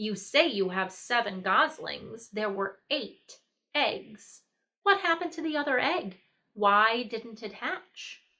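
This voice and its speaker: A woman's put-on character voice, fairly high-pitched, at a fairly slow pace. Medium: read story. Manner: snappish, curt.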